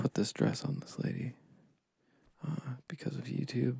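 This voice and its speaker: Soft-spoken and relaxed in tone, the voice moves at a very slow pace. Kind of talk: ASMR sketching session, casual rambling talk. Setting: recorded with dual microphones. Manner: soft-spoken, relaxed.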